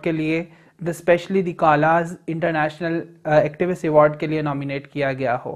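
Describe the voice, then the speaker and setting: The voice belongs to a woman. Behind her, things are quiet. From Okara, Punjab, Pakistan; Punjab, Pakistan. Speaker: transgender rights activist. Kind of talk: news interview statement. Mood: proud, earnest. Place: office.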